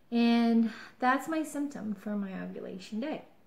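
A woman's voice sits at a fairly high pitch and sounds somewhat breathy. Her pitch varies in an ordinary way. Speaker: vlogger. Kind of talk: casual vlog. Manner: chatty, excited. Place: home room. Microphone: webcam.

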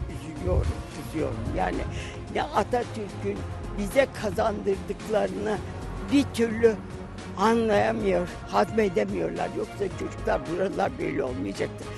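Against clear music in the background, a woman speaks at a fairly slow pace with a dry sound that has no echo. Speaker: Sumerologist. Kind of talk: interview answer. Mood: earnest, saddened, passionate. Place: open country.

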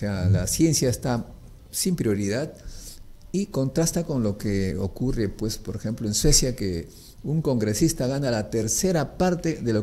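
With a dark, mellow tone and lively intonation, a man talks at a fairly slow pace. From Peru. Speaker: nuclear physicist; interview guest. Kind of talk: interview. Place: studio. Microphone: studio mic.

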